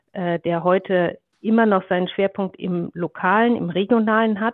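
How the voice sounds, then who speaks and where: A woman speaks in a plain, everyday voice at a medium pitch with ordinary pitch variation. Her pace is fairly slow. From Germany, Ruhr area. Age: 40s. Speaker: media executive. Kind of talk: interview. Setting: video call.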